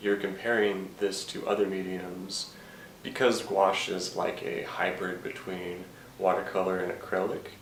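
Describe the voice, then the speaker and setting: Over noticeable background noise, the speech moves at a fairly slow pace with flat, monotone intonation. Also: man. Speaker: painter giving a painting tutorial. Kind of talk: casual tutorial talk to camera.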